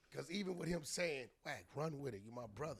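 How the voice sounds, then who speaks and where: A man speaks with a bright, sharp tone and lively intonation. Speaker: artist manager and entrepreneur. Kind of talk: casual chat. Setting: studio. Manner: fast.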